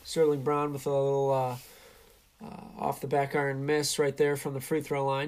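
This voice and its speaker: The delivery is a flat monotone at a moderate pace, broken by long, frequent pauses. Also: man, fairly high pitch for a man. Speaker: sports commentator. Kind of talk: sports commentary, live play-by-play with color analysis.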